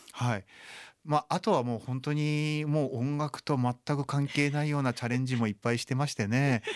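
On a very clean recording with a silent background and a dry, close sound with no echo, a man has an unremarkable speaking voice, fairly high in pitch with ordinary pitch variation and a fairly quick pace. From Japan, Chiba. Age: 40s. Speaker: blind violinist. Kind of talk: radio interview.

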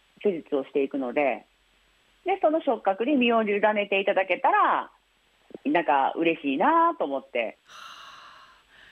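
At a moderate pace and a medium pitch, a woman speaks with very wide pitch swings, big swings in loudness, and long, frequent pauses. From Osaka. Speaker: blind influencer and massage therapist. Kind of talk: interview. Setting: phone call.

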